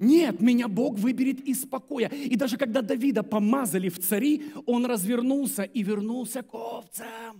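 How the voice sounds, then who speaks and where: Against a quiet background, a man with an extremely high pitch talks in an animated tone at a moderate pace, with ordinary pitch variation and hardly any pauses. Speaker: pastor. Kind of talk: sermon. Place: church. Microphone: headset.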